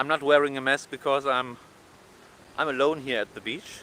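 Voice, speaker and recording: This man has a German accent and a bright, sharp tone. His pitch is fairly high, and he speaks at a moderate pace. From Germany. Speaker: travel vlogger. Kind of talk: live stream vlog. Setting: outdoors, walking on beach. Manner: halting, many fillers.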